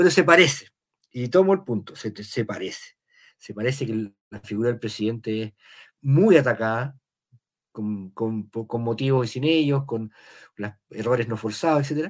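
A man at a medium pitch, fairly slow, with lively intonation and big swings in loudness, on a very clean recording with a silent background. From Chile, Valparaíso. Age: 50s. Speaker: novelist. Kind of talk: interview.

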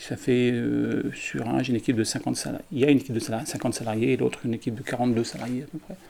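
Very fast speech from a man, hardly any pauses, noticeable noise behind it. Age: 60s. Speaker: care home director. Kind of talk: interview testimony. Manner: halting.

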